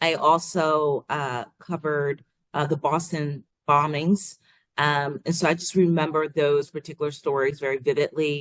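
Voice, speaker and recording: A woman speaks with a slight Long Island accent at a moderate pace. Her very deep, low voice stays monotone and flat. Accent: subtle Long Island. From Long Island, New York. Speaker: TV news reporter. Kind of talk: interview.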